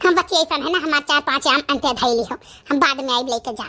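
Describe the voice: A cartoonish character voice rattles along at a very fast pace. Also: woman, high pitch for a woman, ordinary pitch variation.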